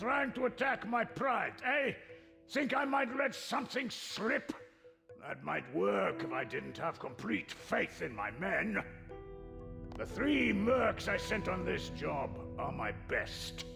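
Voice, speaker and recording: Over clear background music, a man performs a cartoonish character voice at a fairly slow pace. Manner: blustering, gruff.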